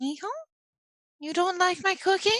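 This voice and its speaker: A female-sounding, put-on character voice comes through squeaky and extremely high in pitch. It moves at a moderate pace. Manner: scolding, berating.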